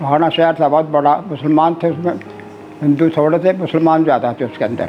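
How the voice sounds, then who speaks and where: Music plays in the background as a man talks. His pitch is fairly high and his intonation fairly even. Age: 80s+. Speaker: Partition survivor. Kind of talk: oral history interview answer.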